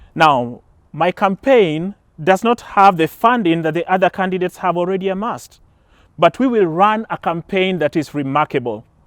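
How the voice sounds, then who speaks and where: A man with a Kenyan accent speaks at a moderate pace in a high voice, his intonation lively. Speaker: political candidate. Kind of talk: campaign speech. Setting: outdoors in a park, small audience.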